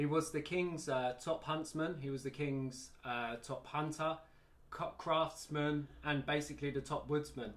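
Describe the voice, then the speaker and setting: The man has an English accent and a fairly high pitch. His intonation is monotone and flat. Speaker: slingshot band maker. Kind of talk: casual interview. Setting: workshop.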